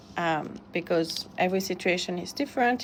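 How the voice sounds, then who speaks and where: A woman talks with a French accent. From France. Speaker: immigration consultant. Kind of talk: webinar presentation. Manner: halting, many fillers.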